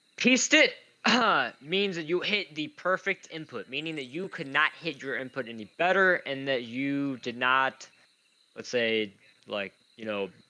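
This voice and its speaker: A man speaks with a fairly high pitch and lively intonation. His pace is fairly slow. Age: 30s. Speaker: gaming commentator. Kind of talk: casual live game commentary.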